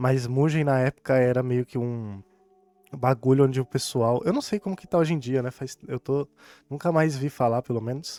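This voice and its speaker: Over background music, a man mumbles at a moderate pace and medium pitch with ordinary pitch variation, the sound dry and close with no echo. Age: 20s. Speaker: gaming YouTuber. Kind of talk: casual chat. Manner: mumbling.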